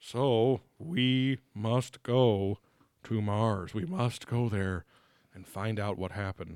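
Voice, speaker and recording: In a put-on character voice, a man speaks at a very slow pace and medium pitch, with big swings in loudness. The recording is very clean, with a silent background. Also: dry, close sound with no echo. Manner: solemn, grave.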